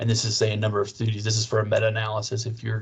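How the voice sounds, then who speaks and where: Low-ish in pitch, a man speaks in a somewhat breathy voice. His intonation is monotone and flat. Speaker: librarian teaching research skills. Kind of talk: training session. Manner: fast.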